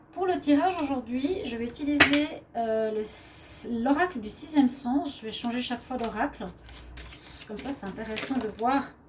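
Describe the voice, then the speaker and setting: A woman's high-pitched voice at a moderate pace, with ordinary pitch variation, big swings in loudness and noticeable background noise. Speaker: tarot card reader. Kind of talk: daily tarot reading. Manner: hesitant, with frequent fillers.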